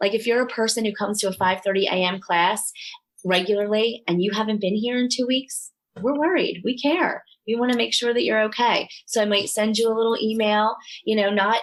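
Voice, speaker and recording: A woman's fairly high voice at a fairly quick pace, in an American accent, with very even loudness. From Delaware County, Pennsylvania. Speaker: yoga studio owner. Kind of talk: podcast interview.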